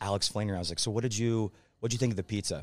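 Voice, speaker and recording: Captured on a very clean recording with a silent background, a man talks at a fairly low pitch. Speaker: podcast host, critical care pharmacist. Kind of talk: casual chat. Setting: convention center, in person. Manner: animated.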